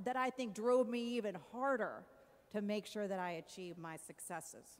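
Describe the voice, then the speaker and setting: Lively intonation at a moderate pace. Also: woman. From Mexico, moved to US at eight. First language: Spanish. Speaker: commencement speaker, TV news anchor. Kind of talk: commencement speech. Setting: arena stage with audience.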